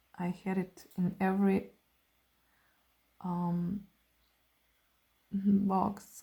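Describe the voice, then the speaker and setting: A woman with a non-native accent speaks at a medium pitch in monotone, flat intonation. Her tone is dark and mellow, and somewhat breathy. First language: not English. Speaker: artist. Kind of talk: art tutorial, swatching demonstration. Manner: relaxed, hesitant with fillers.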